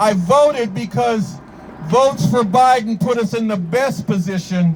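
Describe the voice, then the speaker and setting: Over noticeable background noise, a man with an American accent talks at a high pitch and a fairly slow pace, his intonation lively and his tone animated. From New York. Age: 70s. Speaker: activist. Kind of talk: protest speech. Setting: outdoor protest rally.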